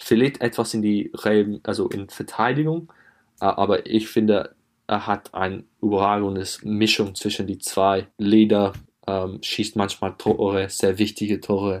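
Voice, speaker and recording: A man with an English accent speaks at a fairly low pitch, his intonation fairly even. The recording is very clean, with a silent background. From England. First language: English (speaking German). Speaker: footballer. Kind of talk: interview. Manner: halting.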